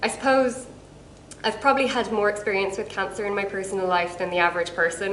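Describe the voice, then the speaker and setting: A woman with an Irish accent, medium pitch, and ordinary pitch variation, amid audible room echo and noticeable background noise. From Ireland. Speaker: cancer researcher. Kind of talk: casual self-introduction to camera.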